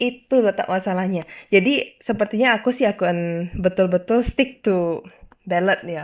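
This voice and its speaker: The woman speaks at a moderate pace with medium pitch. Her pitch varies in an ordinary way. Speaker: video host. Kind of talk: solo monologue, casual video commentary. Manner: casual, mixes English phrases.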